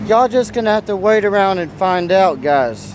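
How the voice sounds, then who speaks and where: The voice is loud and moves at a moderate pace over noticeable background noise. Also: man. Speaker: survivalist vlogger. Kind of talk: casual vlog talk to camera. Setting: outdoors on city street.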